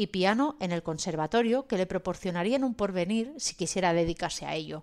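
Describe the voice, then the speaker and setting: A woman's normal speaking voice with lively intonation, in a very clean recording with a silent background. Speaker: podcast section presenter. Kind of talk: scripted narration. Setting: virtual studio.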